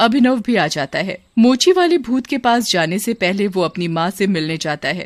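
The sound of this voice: Lively intonation in an unforced reading voice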